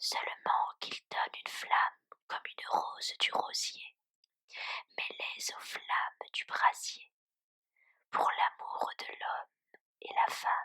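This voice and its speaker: A woman whispering very slowly, with long, frequent pauses, big swings in loudness and a dry, close, echo-free sound. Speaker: ASMR content creator. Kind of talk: whispered poetry reading. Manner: whispered, soft, slow.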